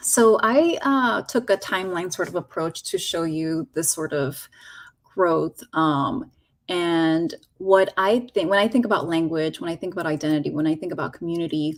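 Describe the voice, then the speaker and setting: With a Spanish accent and lively intonation, the voice comes through on a very clean recording with a silent background. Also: woman, fairly low pitch for a woman, moderate pace. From Los Angeles, moved from Mexico as a child. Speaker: teacher educator. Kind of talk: educator workshop presentation.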